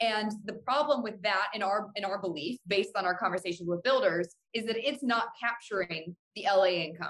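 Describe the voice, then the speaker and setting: A woman in a normal speaking voice, medium in pitch with ordinary pitch variation and hardly any pauses. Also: moderate pace. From Cleveland, Ohio. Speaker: housing economist. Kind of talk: casual interview.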